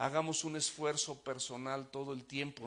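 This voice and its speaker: A man talks at a moderate pace with fairly even intonation. He has an unremarkable speaking voice. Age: 60s. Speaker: pastor. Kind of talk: sermon.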